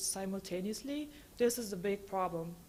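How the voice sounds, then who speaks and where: A woman with a German accent at a fairly quick pace, her pitch varying in an ordinary way. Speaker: government regulatory scientist. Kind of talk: conference talk.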